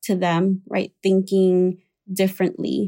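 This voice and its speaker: A woman's medium-pitched, dark, mellow voice in a Spanish accent at a very slow pace. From Puerto Rico. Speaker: psychotherapist. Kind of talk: expert interview. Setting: at home, not a studio.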